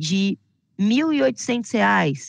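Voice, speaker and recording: A woman talks in an animated tone with very wide pitch swings, recorded with a dry, close sound with no echo over a quiet background. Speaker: health insurance sales trainer. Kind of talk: online sales training.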